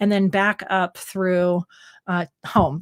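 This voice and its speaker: A woman talks with an American accent, heard on a very clean recording against a silent background. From US Northwest. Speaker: pet photographer and educator. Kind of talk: live stream Q&A chat. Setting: live stream from studio.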